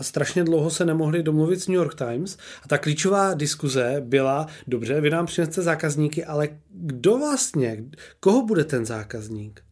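A man with an unremarkable speaking voice talks at a moderate pace, his pitch fairly high and his intonation lively. The recording is very clean, with a silent background. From Czechia, Olomouc. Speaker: podcast host. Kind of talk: interview.

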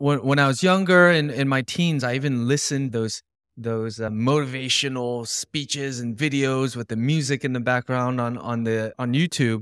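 In a very clean recording with a silent background, a man uses an ordinary speaking voice at a medium pitch and moderate pace with fairly even intonation. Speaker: podcast co-host. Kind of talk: casual chat.

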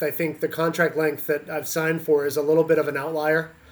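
A man uses a normal speaking voice at a fairly high pitch. He talks at a moderate pace. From Canada. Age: 40s. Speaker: college volleyball head coach. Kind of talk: interview.

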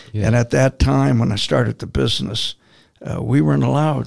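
Speaking with an American accent, a man uses a medium pitch with very wide swings and vocal fry. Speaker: steel erection contractor. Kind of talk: casual interview chat.

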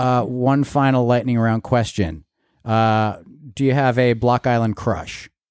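Over a very clean recording with a silent background, a man uses an ordinary speaking voice at a fairly slow pace, with fairly even intonation and very even loudness. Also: medium pitch for a man. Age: 40s. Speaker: podcast co-host. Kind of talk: casual chat.

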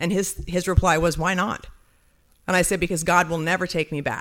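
A woman's monotone, flat delivery at a moderate pace, on a very clean recording with a silent background. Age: 40s. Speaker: testimony speaker at a ministry dinner. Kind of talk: testimony.

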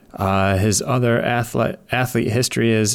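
With an Upper Midwest accent, a man speaks at a very slow pace with ordinary pitch variation. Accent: Upper Midwest American. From US Midwest, Wisconsin. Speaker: sports scientist and cycling coach. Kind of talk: casual panel discussion. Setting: live online audio room.

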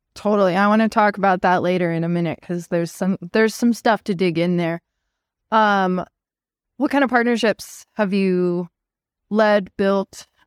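A woman with an American accent has a normal speaking voice at medium pitch, keeping a moderate pace and fairly even intonation. The sound is dry and close with no echo, a very clean recording with a silent background. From Montana, US. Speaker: podcast co-host, partnerships professional. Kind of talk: casual chat.

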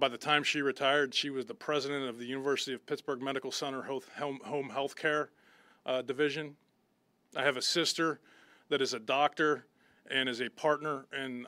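A fairly high-pitched man talks at a fairly quick pace with fairly even intonation and a bright, sharp tone on a very clean recording with a silent background. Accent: American. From western Pennsylvania, Butler. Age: 50s. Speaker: football head coach. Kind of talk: press conference.

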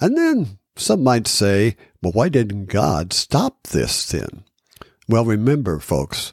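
A man speaks very slowly with an American accent. The sound is dry and close, with no echo. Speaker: private investigator and podcast host. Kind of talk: solo commentary report. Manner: halting.

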